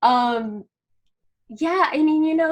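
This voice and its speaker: Speaking at a fairly slow pace, a woman uses a normal speaking voice with lively intonation. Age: 50s. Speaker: spiritual community founder. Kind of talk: interview.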